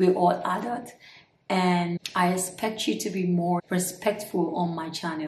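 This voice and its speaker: Light background noise and audible room echo around a woman speaking. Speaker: beauty vlogger. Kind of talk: casual vlog chat. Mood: annoyed but smiling, firm. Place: home room.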